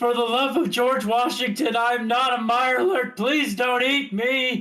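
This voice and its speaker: Shouting in a put-on character voice, a man speaks at an extremely high pitch and a moderate pace. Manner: screaming, desperate.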